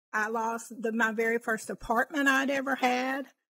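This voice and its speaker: A woman's fairly high, bright, sharp voice at a moderate pace, with ordinary pitch variation over a quiet background. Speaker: podcast guest telling her story. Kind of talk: interview answer, personal story. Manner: quiet, calm. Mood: reflective, recounting painful past. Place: home room. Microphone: studio mic.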